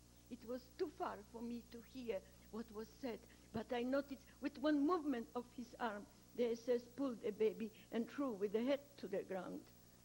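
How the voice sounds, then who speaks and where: The speaker uses a Polish accent, a moderate pace, and ordinary pitch variation. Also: woman, fairly high pitch for a woman. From Poland. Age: 70s. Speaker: Holocaust rescuer. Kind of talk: testimony.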